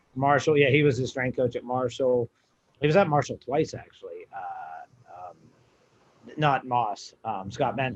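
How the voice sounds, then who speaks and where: An American accent from a man at a medium pitch, an ordinary speaking voice, at a fairly slow pace with ordinary pitch variation. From western Pennsylvania. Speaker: college strength coach. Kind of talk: casual podcast chat.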